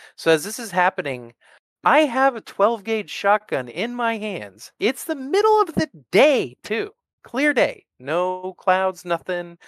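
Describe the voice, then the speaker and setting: In a very clean recording with a silent background, a man with an American accent speaks fairly slowly at a high pitch with very wide pitch swings. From US Northwest. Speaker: army combat veteran. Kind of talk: storytelling interview.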